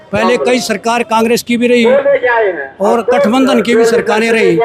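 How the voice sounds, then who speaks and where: A man's extremely high-pitched voice amid noticeable background noise. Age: 70s. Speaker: local party office-bearer. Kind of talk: street interview at protest.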